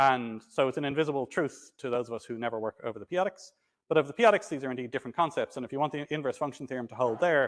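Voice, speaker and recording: A man talks at a very fast pace with a fairly high pitch and ordinary pitch variation, the sound dry and close with no echo against a quiet background. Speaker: mathematics lecturer. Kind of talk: lecture. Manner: halting.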